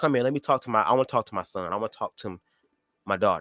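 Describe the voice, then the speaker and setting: A man speaks at a very fast pace with a medium pitch. His bright, sharp tone comes through dry and close, with no echo. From Detroit, US Midwest. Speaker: YouTube live streamer. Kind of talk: casual chat. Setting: livestream. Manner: stutters, fast.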